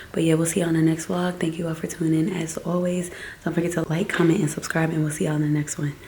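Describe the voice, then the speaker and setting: Through noticeable background noise, a woman with a fairly low pitch speaks at a very fast pace in a flat, monotone way. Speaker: family vlogger. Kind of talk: casual vlog talk to camera. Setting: at home at night. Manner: soft-spoken.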